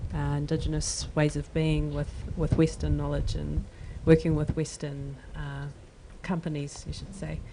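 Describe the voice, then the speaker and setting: A woman with a New Zealand accent at a moderate pace, with big swings in loudness. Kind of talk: panel discussion.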